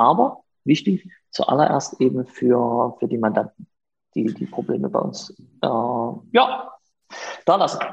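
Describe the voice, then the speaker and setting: A man speaks at a very slow pace. His delivery has long, frequent pauses. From Saxony, Germany (Chemnitz). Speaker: lawyer. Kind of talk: casual interview. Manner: halting, many fillers.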